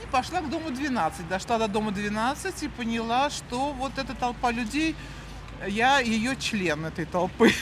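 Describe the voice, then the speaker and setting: Lively intonation in a fairly high female voice at a moderate pace, with noticeable background noise. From Moscow, Russia. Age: 60s. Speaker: chief accountant, street interviewee. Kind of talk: street interview.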